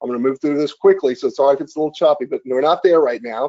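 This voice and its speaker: His voice sits at a fairly high pitch for a man. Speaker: online marketing webinar host. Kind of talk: live webinar demonstration. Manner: fast; animated.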